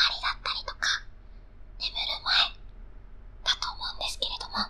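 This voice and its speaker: A woman whispers over music in the background. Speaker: idol singer. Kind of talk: ASMR whisper talk. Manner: whispered. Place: studio. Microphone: studio mic.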